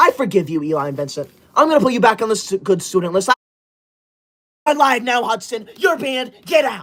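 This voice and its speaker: A high-pitched man with very wide pitch swings and long, frequent pauses. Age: 20s. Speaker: livestreamer. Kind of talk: live stream chat reading. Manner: fast; animated.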